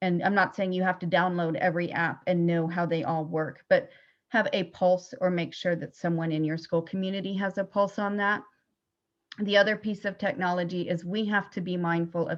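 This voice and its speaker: A woman talks at a moderate pace in an ordinary speaking voice, fairly low in pitch, with fairly even intonation. The background is quiet. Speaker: school psychologist. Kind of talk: webinar presentation.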